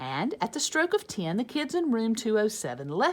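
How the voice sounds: The clip features a natural reading voice.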